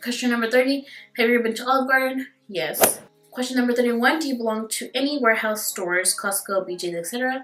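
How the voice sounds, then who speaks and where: With music in the background, a woman with a Spanish accent speaks at a very fast pace and high pitch. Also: ordinary pitch variation. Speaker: beauty YouTuber. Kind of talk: casual chat.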